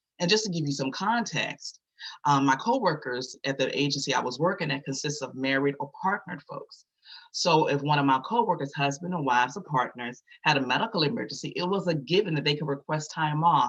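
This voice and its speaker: A man with an American accent, fairly high-pitched, at a fairly quick pace. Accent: Virginia accent, noticeable to others. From Virginia. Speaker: community advocate. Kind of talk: testimony.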